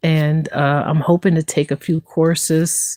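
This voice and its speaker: A woman speaks at a fairly slow pace with a very deep, low pitch, a dark, mellow tone and fairly even intonation. The sound is dry and close with no echo, a very clean recording over a silent background. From US East Coast. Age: 50s. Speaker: livestreamer telling her life story. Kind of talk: casual live stream monologue. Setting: live stream, in an RV.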